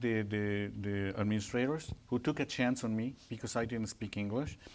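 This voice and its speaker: In a very clean recording with a silent background, a man with a Spanish accent speaks at a moderate pace. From Mexico, Puebla. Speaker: Spanish teacher. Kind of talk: Q&A after a presentation. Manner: halting, with repeated words.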